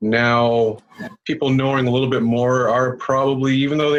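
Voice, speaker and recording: A Canadian accent at a fairly quick pace, over noticeable background noise. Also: man. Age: 40s. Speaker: biker. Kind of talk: casual chat.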